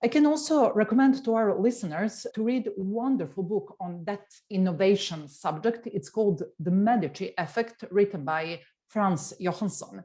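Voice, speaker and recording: A woman speaks with a Serbian accent at a medium pitch. Her intonation is lively and her tone dark and mellow. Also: quiet background. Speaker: tech executive. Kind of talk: interview. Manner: hesitant.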